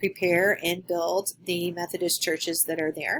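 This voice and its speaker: At a moderate pace, a woman with a Midwestern American accent talks in a fairly low pitch. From western Kansas (Garden City). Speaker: graduate student. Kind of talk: recorded class presentation. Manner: halting.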